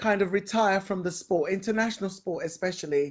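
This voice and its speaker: Against a quiet background, a woman with a London accent speaks at a medium pitch with fairly even intonation. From West London, England. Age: 50s. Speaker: retired sumo wrestler. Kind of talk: interview. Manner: halting.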